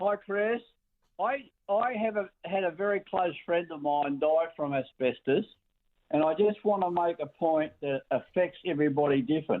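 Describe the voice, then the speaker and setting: Speaking with an Australian accent, a man talks at a moderate pace in a high pitch with ordinary pitch variation. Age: 80s+. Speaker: retired mechanic, caller. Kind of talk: phone-in call.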